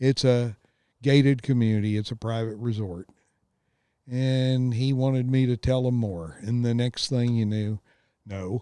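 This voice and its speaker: Dark, mellow tone from a man at a fairly slow pace, with ordinary pitch variation and a dry, close sound with no echo. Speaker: podcast host. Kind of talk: casual chat. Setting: outdoors. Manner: rambling, chatty.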